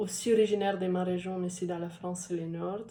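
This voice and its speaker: In a dark, mellow tone, a woman speaks at a medium pitch with fairly even intonation. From Italy. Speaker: social media manager and copywriter. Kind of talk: interview answer. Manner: hesitant, many filler sounds.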